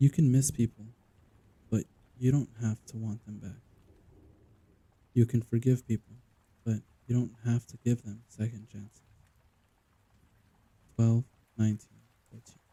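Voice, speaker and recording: A man's medium-pitched, dark and mellow voice at a moderate pace, somewhat breathy and monotone, with big swings in loudness and long, frequent pauses. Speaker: audiobook narrator. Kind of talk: ASMR poetry reading.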